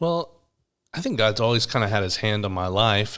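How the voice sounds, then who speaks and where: A man with an American accent and a bright, sharp tone is heard on a very clean recording with a silent background. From US South, Atlanta, Georgia. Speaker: pastor and podcast co-host. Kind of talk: casual chat.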